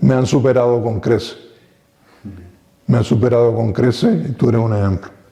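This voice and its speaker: A man's medium-pitched, dark and mellow voice, somewhat breathy, at a moderate pace with ordinary pitch variation and long, frequent pauses. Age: 60s. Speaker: retired local TV pioneer. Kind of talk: interview.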